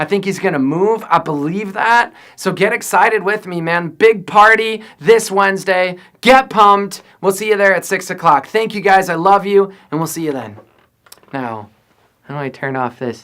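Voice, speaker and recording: Shouting loudly in a high voice, a man speaks at a moderate pace with an animated, bright, sharp tone and lively intonation. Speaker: youth pastor. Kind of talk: video message to volunteer leaders. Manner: loud, yelling.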